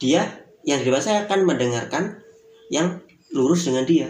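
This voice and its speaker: Intonation is lively here. The speaker is a man with a high pitch. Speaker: podcast host.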